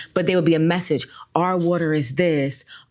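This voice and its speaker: A woman's fairly low voice in a Philadelphia accent, fairly quick in pace, with fairly even intonation. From Philadelphia, US. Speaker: formerly incarcerated community advocate. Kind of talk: podcast interview.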